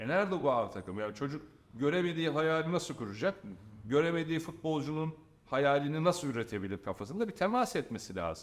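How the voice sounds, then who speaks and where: With very wide pitch swings, a man speaks at a fairly quick pace in a fairly high voice. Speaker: football coach and pundit. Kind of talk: casual interview chat.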